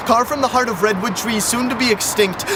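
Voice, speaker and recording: Over noticeable background noise, a man speaks at an extremely high pitch with fairly even intonation. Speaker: spoken word poet. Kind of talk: poetry performance. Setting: outdoors. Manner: loud.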